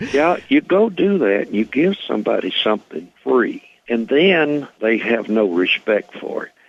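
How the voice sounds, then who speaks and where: Fairly slow speech from a man, with very wide pitch swings. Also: medium pitch for a man. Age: 70s. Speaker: retired race car builder and driver. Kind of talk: radio interview.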